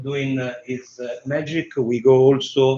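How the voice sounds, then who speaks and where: A man talks at a fairly slow pace in a strong Roman accent. His fairly high voice stays monotone and flat. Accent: strong Roman Italian. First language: Italian. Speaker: tech demo presenter. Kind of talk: live tech demo. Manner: halting, many fillers.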